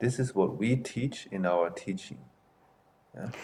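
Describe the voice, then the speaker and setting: A man speaks at a medium pitch. He keeps a fairly slow pace. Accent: non-native. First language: not English. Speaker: martial arts master and temple headmaster. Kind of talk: interview.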